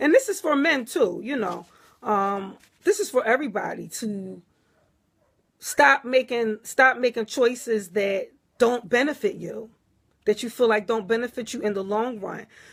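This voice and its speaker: On a very clean recording with a silent background, a woman with an American accent speaks at a moderate pace in a fairly high voice with lively intonation. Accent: Philadelphia accent, noticed by viewers. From US Northeast, Philadelphia. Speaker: spiritual teacher, livestreamer. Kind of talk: live stream talk reading viewer comments. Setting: Facebook Live. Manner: casual, conversational.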